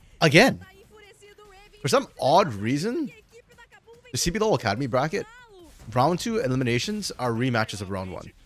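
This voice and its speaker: Noticeable background noise surrounds this man. He talks fairly quickly in a fairly high voice. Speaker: esports caster. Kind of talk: live game commentary stream. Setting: live stream. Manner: casual, conversational.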